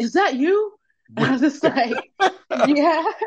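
Ordinary pitch variation at a moderate pace. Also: woman. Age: 20s. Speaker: singer-songwriter. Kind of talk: casual interview. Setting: phone call.

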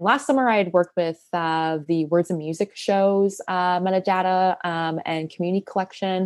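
In a quiet background with a dry, close sound and no echo, a woman talks in an ordinary speaking voice, fairly low in pitch, with fairly even intonation. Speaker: poet and research assistant. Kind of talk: interview conversation.

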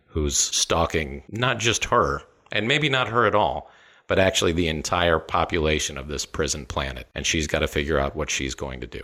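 A man speaks at a moderate pace with a very deep, low pitch and vocal fry. His tone is bright and sharp, and the recording is very clean with a silent background. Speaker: film podcast host. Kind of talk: casual film discussion podcast.

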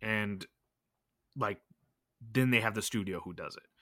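Fairly slow and fairly even in intonation, a man with an American accent speaks at a medium pitch with a bright, sharp tone. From Los Angeles, US West Coast. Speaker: gaming podcast co-host. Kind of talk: casual chat.

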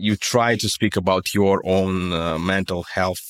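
In a very clean recording with a silent background, a man with a Russian accent speaks at a fairly slow pace in a very deep, low voice that sounds dry and close, with no echo. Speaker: stand-up comedian. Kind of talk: interview.

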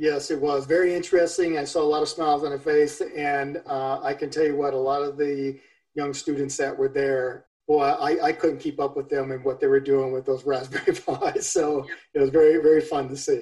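A man's monotone, flat delivery at a fairly quick pace. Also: fairly high pitch for a man. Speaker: IT center director, Air Force veteran. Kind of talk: informational interview.

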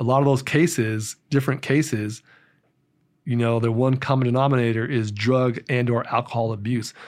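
Recorded very cleanly against a silent background, a man with an ordinary speaking voice talks at a moderate pace and medium pitch in fairly even intonation. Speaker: politician and former sheriff's deputy. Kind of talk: casual interview.

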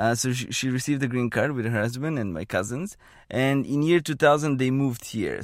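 In a very clean recording with a silent background, a man speaks at medium pitch. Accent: Bulgarian. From Bulgaria, small town. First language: Bulgarian. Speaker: economist, postdoctoral fellow. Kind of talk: interview. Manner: halting.

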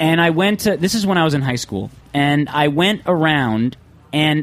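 A man's fairly high pitch at a moderate pace, with lively intonation and a plain, everyday voice. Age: 20s. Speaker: podcast host. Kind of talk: casual chat. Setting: studio.

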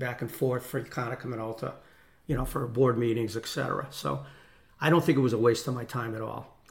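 A man's medium-pitched, somewhat breathy voice with an American accent, fairly quick in pace and fairly even in intonation. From Connecticut, US. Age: 60s. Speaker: retired corporate executive and business owner. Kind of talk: casual interview, personal storytelling.

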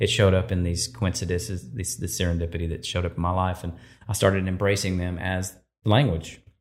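On a very clean recording with a silent background, a man with a Texan accent speaks in a very deep, low voice with ordinary pitch variation. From East Texas. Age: 50s. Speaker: photographer and filmmaker. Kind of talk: interview, storytelling.

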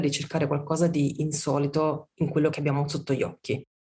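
A woman with a very deep, low pitch and a somewhat breathy voice speaks at a very fast pace. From southern Italy, Amalfi Coast. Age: 40s. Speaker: food writer and communication consultant. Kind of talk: interview conversation.

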